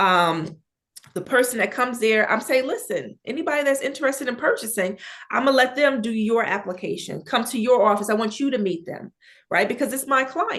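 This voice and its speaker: Loud and animated, a woman speaks with a high pitch and lively intonation. Her pace is fairly quick. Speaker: mobile home investor. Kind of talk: interview.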